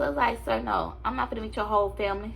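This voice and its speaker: The speaker is a woman. Room echo can be heard around her voice. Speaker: vlogger and teacher. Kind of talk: casual storytime vlog.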